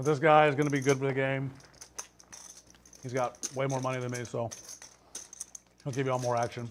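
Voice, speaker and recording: Fairly quick speech in a monotone, flat intonation, broken by long, frequent pauses, against noticeable background noise. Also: man, medium pitch for a man. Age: 60s. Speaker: poker player. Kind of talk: casual chat. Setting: casino poker table on livestream.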